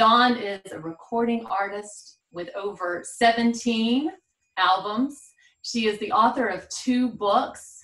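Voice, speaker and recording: A woman talks at a very slow pace with a Southern US accent. Her voice sits fairly high, with ordinary pitch variation. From South Carolina. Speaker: podcast host. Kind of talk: interview chat.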